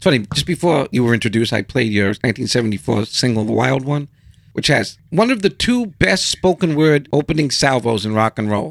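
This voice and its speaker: At a fairly quick pace, a man talks in a plain, everyday voice at a medium pitch. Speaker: podcast host. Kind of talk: interview.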